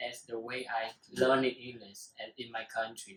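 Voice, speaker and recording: This man talks at a medium pitch with a Vietnamese accent. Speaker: student. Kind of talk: casual talk show discussion. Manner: halting, many fillers.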